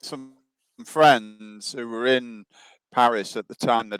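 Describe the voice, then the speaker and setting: With an English accent, a man talks at medium pitch in a dry, close sound with no echo. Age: 70s. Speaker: author and researcher. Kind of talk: interview.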